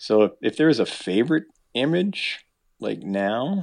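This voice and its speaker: A man with a Canadian accent at a moderate pace, against a quiet background. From Manitoba, Canada. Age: 60s. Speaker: fine art photographer and fly fisher. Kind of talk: casual interview. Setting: call.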